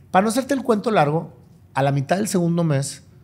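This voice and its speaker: A man's high-pitched voice with lively intonation. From Monterrey, northern Mexico; Mexico. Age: 50s. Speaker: businessman and motivational speaker; motivational speaker. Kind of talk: interview conversation. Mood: reflective, earnest. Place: home room. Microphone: studio mic.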